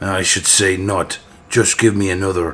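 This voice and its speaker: A raspy, put-on character voice from a man at a fairly low pitch. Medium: read story. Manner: loud, blustering.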